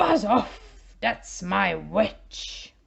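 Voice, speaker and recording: Her put-on character voice is shrill, growling, raspy and croaky all at once. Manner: menacing, gruff.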